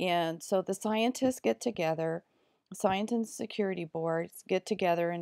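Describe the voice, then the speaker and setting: A woman with a plain, everyday voice speaks at a fairly slow pace, her fairly low pitch showing ordinary variation, in a dry, close sound with no echo on a very clean recording with a silent background. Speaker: video blogger. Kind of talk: casual monologue.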